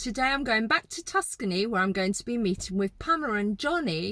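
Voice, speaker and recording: In an English accent, a bright, sharp voice moves at a fairly quick pace with very wide pitch swings, recorded dry and close with no echo. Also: woman. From England. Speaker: vlogger interviewer. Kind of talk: casual interview chat; vlog narration. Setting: kitchen.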